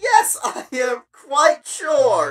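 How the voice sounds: In a put-on character voice, a woman speaks very slowly at a high pitch, her pitch swinging very widely.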